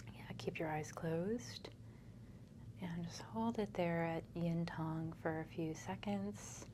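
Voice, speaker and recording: Soft-spoken and calm, a woman speaks very slowly in a very deep, low voice with a dark, mellow tone and very wide pitch swings. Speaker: acupuncturist and energy healer. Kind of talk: soft-spoken ASMR treatment session with a patient. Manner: soft-spoken, calm.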